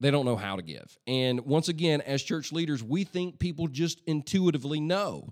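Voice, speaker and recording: A man speaks at a moderate pace with lively intonation. He has an unremarkable speaking voice. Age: 40s. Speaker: pastor and church leadership podcast host. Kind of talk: solo leadership podcast monologue. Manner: casual, conversational with frequent fillers.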